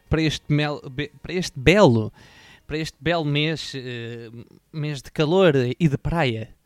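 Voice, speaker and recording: In a dry, close recording with no echo, a man with a European Portuguese accent speaks with ordinary pitch variation, big swings in loudness, and long, frequent pauses. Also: fairly high pitch for a man. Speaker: podcast host. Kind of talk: casual chat.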